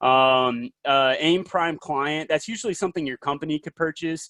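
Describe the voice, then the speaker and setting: Close and dry with no echo, a man with a Southern US accent speaks with fairly even intonation against a quiet background. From US South, South Carolina. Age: young. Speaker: industry presenter. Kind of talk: webinar presentation. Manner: fast; hesitant, many fillers.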